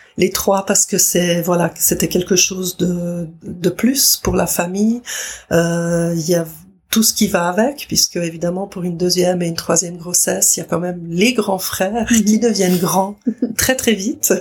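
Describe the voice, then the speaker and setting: A woman's fairly slow speech in an ordinary speaking voice, medium in pitch, with ordinary pitch variation. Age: 60s. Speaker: grandmother, daycare office worker. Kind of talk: testimony.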